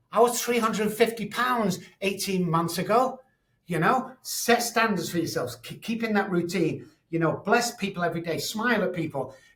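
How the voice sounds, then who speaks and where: This man speaks in a Manchester accent with an animated tone and a high pitch. His pace is moderate and his pitch varies an ordinary amount. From Manchester, England. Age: 60s. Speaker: addiction expert and psychologist. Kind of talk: interview.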